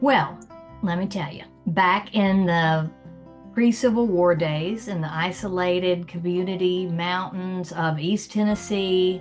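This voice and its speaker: With music in the background, a woman speaks at a fairly slow pace and fairly even intonation. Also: medium pitch for a woman. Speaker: writer and interviewer. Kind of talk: podcast introduction.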